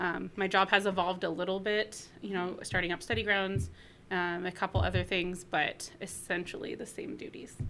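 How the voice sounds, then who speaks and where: A woman talks at a moderate pace with a West Coast accent. Music plays in the background. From Northern California, US. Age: 30s. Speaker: graduating hospitality student. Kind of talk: interview.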